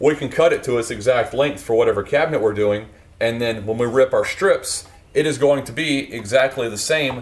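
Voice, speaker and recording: Fairly quick speech from a man, with ordinary pitch variation. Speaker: woodworking show host. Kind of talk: tutorial. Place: workshop. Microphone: lapel.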